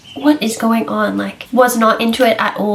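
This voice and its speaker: With an Australian accent, a woman speaks fairly slowly at a fairly high pitch over noticeable background noise. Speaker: book reviewer. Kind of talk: casual chat. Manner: animated.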